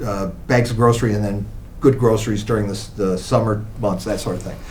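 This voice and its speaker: A man with a fairly low pitch and vocal fry, flat and monotone at a fairly quick pace, with audible room echo. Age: 70s. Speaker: lawyer and charity board member. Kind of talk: casual interview.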